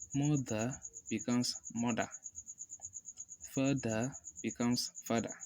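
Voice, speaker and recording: Speaking at a fairly slow pace, a man leaves long, frequent pauses. His medium-pitched voice has monotone, flat intonation. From Africa. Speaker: language tutor. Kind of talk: tutorial talk to camera.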